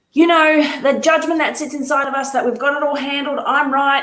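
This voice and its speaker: Audible room echo colors a woman's high-pitched voice. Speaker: fitness and business coach. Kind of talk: motivational talk to camera.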